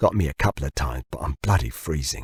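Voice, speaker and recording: A man puts on a growling character voice with a very deep, low pitch. He rattles along at a very fast pace. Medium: read story. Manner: stoic, understated.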